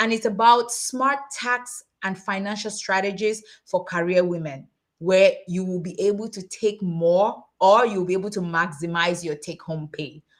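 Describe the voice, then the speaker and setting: The delivery is animated, with ordinary pitch variation at a moderate pace. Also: woman, medium pitch for a woman. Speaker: tax accountant and summit host. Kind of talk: webinar presentation. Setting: livestream.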